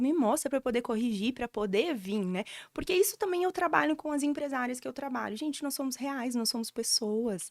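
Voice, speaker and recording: A woman's high voice at a fairly quick pace, on a very clean recording with a silent background. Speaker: storytelling mentor. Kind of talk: podcast interview, personal story. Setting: podcast studio. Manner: animated.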